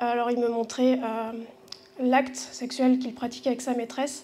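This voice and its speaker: A woman speaks at a high pitch in a monotone, flat intonation. Audible room echo surrounds her voice. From southwestern France, Bordeaux. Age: 40s. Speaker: church member giving testimony. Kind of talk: testimony. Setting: church gathering with audience. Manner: halting, many hesitations.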